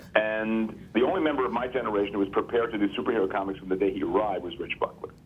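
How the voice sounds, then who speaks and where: Noticeable background noise sits behind a man's fairly low voice. He talks at a very fast pace with ordinary pitch variation. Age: 60s. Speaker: comic book artist and writer. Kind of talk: casual chat. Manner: halting, many repeated words.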